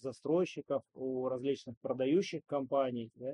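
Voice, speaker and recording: Talking very slowly, a man holds a medium pitch. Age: 40s. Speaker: entrepreneur and investor. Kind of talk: interview.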